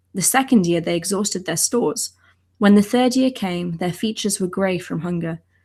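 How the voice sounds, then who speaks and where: A woman speaks at a medium pitch and moderate pace, somewhat breathy, with ordinary pitch variation. The recording is very clean with a silent background. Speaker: ancient languages scholar, channel co-host. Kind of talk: reading aloud an ancient text translation; explanatory lecture-style commentary.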